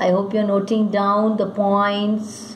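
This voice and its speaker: With audible room echo and noticeable background noise, a woman at a medium pitch speaks very slowly in a flat monotone. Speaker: school English teacher. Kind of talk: lecture. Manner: slow, dictating pace.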